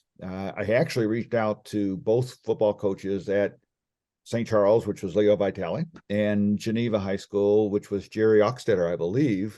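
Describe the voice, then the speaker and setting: This man has a fairly low, dark, mellow voice with an American accent. He speaks at a moderate pace with ordinary pitch variation. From Texas, Austin. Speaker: former NFL quarterback. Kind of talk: interview.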